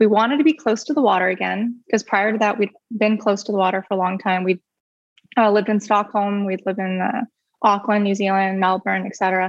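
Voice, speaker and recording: A woman with an American accent speaks in an ordinary speaking voice at a medium pitch, a fairly quick pace and with fairly even intonation. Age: 30s. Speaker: business founder. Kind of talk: casual interview. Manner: chatty, laughs often.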